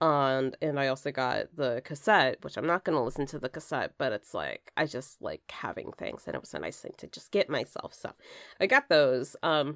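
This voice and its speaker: A woman speaks in a very deep, low pitch with ordinary pitch variation and big swings in loudness. The recording is very clean, with a silent background and a dry, close sound with no echo. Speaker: music podcast host. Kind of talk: unscripted solo podcast monologue. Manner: halting, many ums and stutters.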